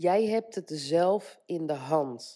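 The voice moves at a very slow pace, its pitch swinging very widely. Its tone is dark and mellow over a very clean recording with a silent background. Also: woman. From Netherlands. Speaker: life coach and podcaster. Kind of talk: solo motivational podcast monologue. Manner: casual with frequent fillers.

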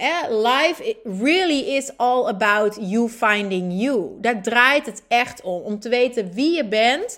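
At a very slow pace, a woman talks in a high-pitched voice. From northern Netherlands (Groningen, Friesland). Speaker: podcast host, women's coach. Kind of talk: personal monologue. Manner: animated.

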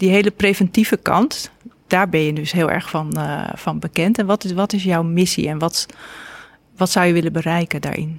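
Recorded in a dry, close sound with no echo, a woman with an ordinary speaking voice talks at a moderate pace in a fairly low pitch with fairly even intonation. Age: 50s. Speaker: podcast host and journalist. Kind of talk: interview conversation. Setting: cafe recording.

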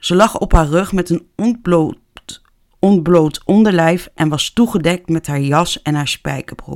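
A woman talks at a very slow pace. Her pitch is fairly low, with ordinary variation. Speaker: true crime podcaster. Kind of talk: true crime storytelling. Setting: home office.

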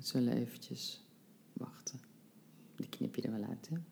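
Speaking at a fairly slow pace, a woman with a very deep, low pitch and a dark, mellow tone shows ordinary pitch variation and vocal fry. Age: 50s. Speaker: life coach. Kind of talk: casual interview.

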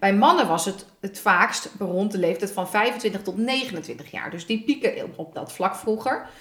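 A woman talks at a very slow pace with hardly any pauses, at medium pitch with ordinary pitch variation. Her loudness swings widely over noticeable background noise. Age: 30s. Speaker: podcast co-host. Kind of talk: casual chat.

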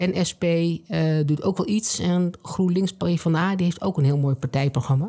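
With a dark, mellow tone, a woman speaks at a fairly slow pace, her loudness very even and her pitch variation ordinary.

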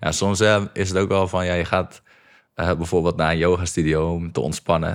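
Very deep, low male voice at a moderate pace with fairly even intonation, on a very clean recording with a silent background. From North Holland, Netherlands (Egmond). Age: 20s. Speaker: podcast host. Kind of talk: interview conversation.

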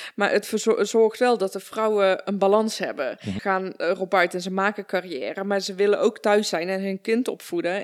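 A woman speaks in a normal speaking voice at a moderate pace, with hardly any pauses. Her pitch is medium, with ordinary pitch variation. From Netherlands (born in Afghanistan). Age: 30s. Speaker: podcast host. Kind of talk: interview conversation.

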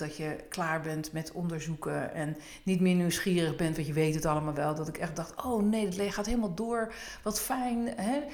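With audible room echo, a woman speaks at a moderate pace in a fairly low voice with lively intonation. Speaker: podcast host. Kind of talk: casual chat.

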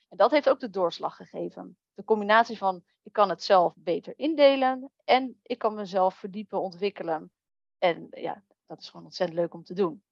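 An ordinary speaking voice from a woman of medium pitch, with lively intonation, big swings in loudness, a moderate pace, and a dry, close sound with no echo. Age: 30s. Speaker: virtual assistant. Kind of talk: interview.

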